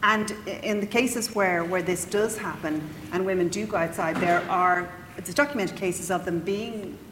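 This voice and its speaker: Speaking at a fairly quick pace, a woman with an Irish accent has a medium pitch. Noticeable background noise runs under her voice. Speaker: historian. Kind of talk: panel discussion. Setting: stage with audience.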